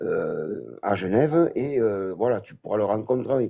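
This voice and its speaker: Against a quiet background, a dark, mellow tone comes through at a fairly slow pace. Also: man. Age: 60s. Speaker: former cult member giving testimony. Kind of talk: testimony. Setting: phone call into live stream. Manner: halting. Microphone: noisy phone line.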